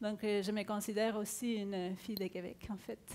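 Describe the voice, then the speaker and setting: Her pitch is fairly high for a woman, and she speaks at a moderate pace. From Chile, Santiago. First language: Spanish (speaking French). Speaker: agile coach. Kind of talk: conference talk. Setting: stage with audience.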